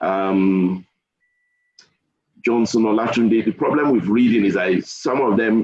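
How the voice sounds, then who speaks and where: A man talks at a moderate pace with a fairly low pitch and ordinary pitch variation. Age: 60s. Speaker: engineer giving a webinar talk. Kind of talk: webinar Q&A.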